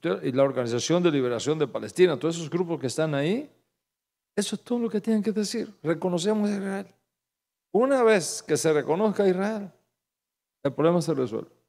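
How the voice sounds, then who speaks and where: A man with a Cuban accent speaks at a fairly quick pace in a high pitch, with very wide pitch swings. He leaves long, frequent pauses. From Cuba, Santa Clara. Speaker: pastor. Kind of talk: sermon. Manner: animated.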